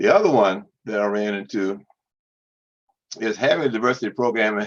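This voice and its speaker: A man speaks at a fairly low pitch. His pitch varies in an ordinary way. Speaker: public relations consultant and podcast host. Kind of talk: presentation to professional group. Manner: fast; halting with repetitions.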